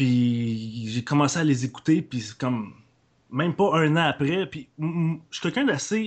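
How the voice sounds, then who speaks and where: A man talks in a normal speaking voice at a fairly high pitch. His intonation is lively and his pace fairly slow. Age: 20s. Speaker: podcaster. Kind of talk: casual chat.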